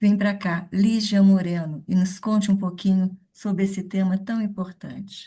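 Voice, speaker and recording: A woman with a dark, mellow tone speaks at a fairly slow pace with hardly any pauses, her medium-pitched voice somewhat breathy and monotone with flat intonation. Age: 70s. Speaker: live show host, network marketer. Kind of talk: live stream introduction.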